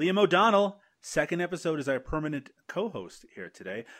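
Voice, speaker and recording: A man with vocal fry at a fairly quick pace, on a very clean recording with a silent background. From Canada. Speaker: film podcast host. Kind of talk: casual chat.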